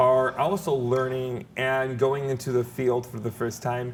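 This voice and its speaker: In a plain, everyday voice, a man talks at a moderate pace with a medium pitch and fairly even intonation. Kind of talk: interview.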